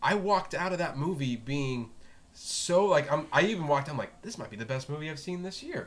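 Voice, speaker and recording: A man with an American accent uses a plain, everyday voice at a fairly high pitch, speaking at a fairly quick pace with big swings in loudness. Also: lively intonation. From South Florida. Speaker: film podcast host. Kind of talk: casual chat.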